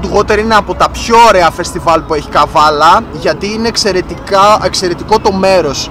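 A man speaks in a raised, projected voice with fairly even intonation. Music plays in the background. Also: dry sound with no echo. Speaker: vlogger. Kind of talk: casual vlog chat. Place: car.

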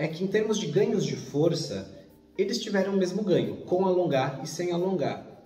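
A man speaks at a fairly quick pace, his voice carrying audible room echo. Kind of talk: educational commentary.

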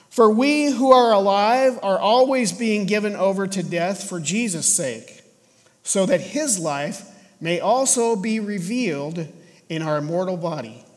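Lively intonation at a fairly slow pace against a quiet background. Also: man. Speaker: pastor. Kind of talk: scripture reading in sermon. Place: church.

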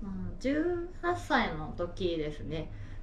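A woman's voice carries audible room echo. Light background noise sits behind her. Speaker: interviewee. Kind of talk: interview answer. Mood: candid, slightly shy. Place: home room.

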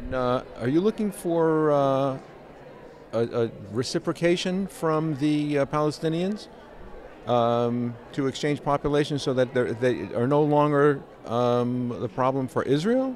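A plain, everyday voice moves at a fairly slow pace, with a dry sound with no echo and light background noise. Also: man, fairly high pitch for a man, ordinary pitch variation. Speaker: interviewer. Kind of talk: interview. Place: hall.

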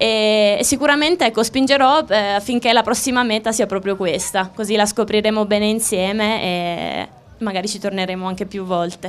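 A woman speaks at a moderate pace, her pitch shifting in an ordinary way. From Abruzzo, Italy (Chieti); Abruzzo, Italy. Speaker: former rhythmic gymnast; TV host. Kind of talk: live TV interview. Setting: outdoors. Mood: cheerful, friendly. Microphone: handheld.

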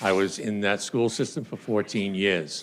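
Speaking with a Boston accent, a man keeps a fairly low pitch and fairly even intonation. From US Northeast, Boston area, Massachusetts. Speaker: political candidate, retired police officer. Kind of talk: campaign speech at candidate forum. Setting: stage with audience, auditorium.

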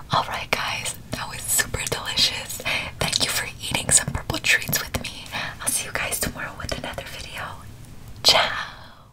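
Whispering at a moderate pace, a woman's voice swings widely in loudness. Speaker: food vlogger. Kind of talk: casual vlog chat. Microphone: phone near.

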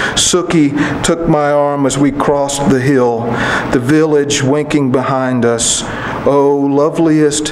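A man with a fairly high pitch speaks at a very slow pace. Noticeable background noise runs underneath. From Kentucky. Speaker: poet. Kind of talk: poetry reading. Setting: stage with audience. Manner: measured, unhurried, warmly conversational between poems; wry, gently humorous delivery with chuckles, dropping into a storyteller's cadence. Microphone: podium.

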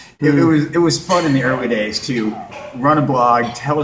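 A man at a moderate pace with ordinary pitch variation, over noticeable background noise. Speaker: interviewee. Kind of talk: interview answer. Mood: cheerful, animated storytelling. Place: gym.

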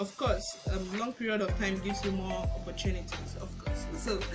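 A woman talks at a moderate pace, with clear music audible behind her. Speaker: relationship vlogger. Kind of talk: casual teaching talk. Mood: cheerful, laughing at times. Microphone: phone near.

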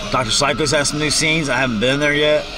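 Clear music plays in the background of this dry recording with no echo. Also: man. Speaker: vlogger. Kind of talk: casual vlog chat. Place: car. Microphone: phone near.

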